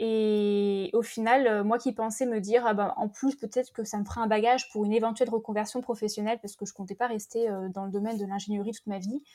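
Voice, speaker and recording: Talking at a fairly quick pace, a woman with a fairly high pitch keeps to a monotone, flat intonation. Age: 30s. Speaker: podcaster and former engineer. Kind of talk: testimony.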